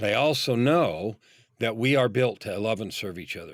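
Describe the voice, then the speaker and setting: Over a silent background in a very clean recording, a man talks at a moderate pace in an ordinary speaking voice of medium pitch, with lively intonation. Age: 60s. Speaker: business coach. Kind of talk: podcast interview.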